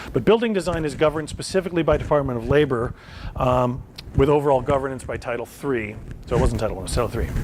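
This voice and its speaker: Very fast speech from a man with a fairly high pitch and ordinary pitch variation, over noticeable background noise. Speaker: vocational rehabilitation counselor. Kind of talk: lecture. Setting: presentation to an audience.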